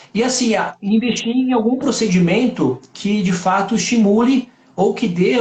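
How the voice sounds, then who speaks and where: Over noticeable background noise, a man with a high voice speaks at a moderate pace. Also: hardly any pauses, very even loudness. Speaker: doctor. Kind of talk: interview on live stream.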